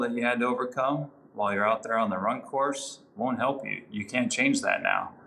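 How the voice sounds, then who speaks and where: A normal speaking voice from a man, medium in pitch, moderately paced, with fairly even intonation. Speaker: naval officer and triathlon coach. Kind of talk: coaching tips interview.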